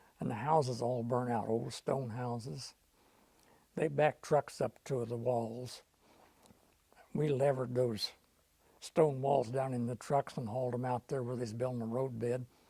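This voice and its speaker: Long, frequent pauses break up a man's speech at a moderate pace in an American accent. His medium-pitched voice has a dark, mellow tone and fairly even intonation. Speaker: war veteran. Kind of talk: oral history interview answer.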